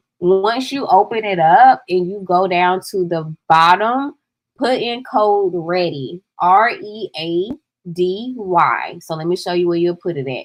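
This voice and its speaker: In an American accent, a woman talks with lively intonation. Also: medium pitch for a woman, fairly slow pace. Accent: Southern accent, people often remark on it. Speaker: digital product coach. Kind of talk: livestream tutorial. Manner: casual, chatty.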